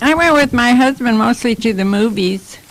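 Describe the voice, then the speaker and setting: A woman's speech, at a moderate tempo and with ordinary pitch variation, comes through noticeable background noise. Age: 80s+. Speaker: former wartime shipyard worker. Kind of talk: casual chat.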